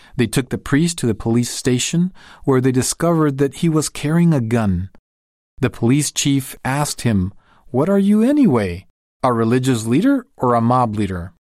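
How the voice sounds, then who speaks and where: With a plain, everyday voice, a man speaks at a medium pitch and a moderate pace, his intonation lively. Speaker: narrator reading a magazine article. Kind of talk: reading aloud. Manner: formal.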